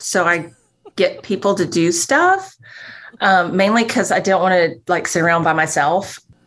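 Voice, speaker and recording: The speaker talks at a moderate pace with ordinary pitch variation. It is an unremarkable speaking voice. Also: woman. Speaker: grief ministry program director. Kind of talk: casual chat.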